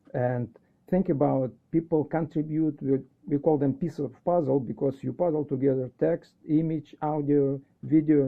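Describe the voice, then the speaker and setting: Here a man speaks in a Russian accent. His pitch is fairly high. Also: fairly even intonation, moderate pace. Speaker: educator. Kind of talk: casual chat.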